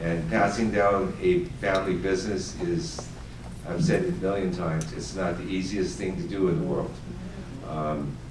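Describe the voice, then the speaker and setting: A man with an American accent and a very deep, low pitch speaks at a moderate pace. Noticeable background noise and audible room echo fill the recording. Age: 60s. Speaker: family business owner, confectioner. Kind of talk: audience Q&A panel. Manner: hesitant, many fillers.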